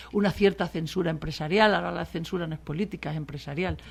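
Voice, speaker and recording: Speaking at a very fast pace, a woman uses a fairly low pitch with ordinary variation. The recording is very clean and the background silent. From Spain, Extremadura (Mérida). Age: 60s. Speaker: political journalist. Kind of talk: radio interview. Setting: radio studio.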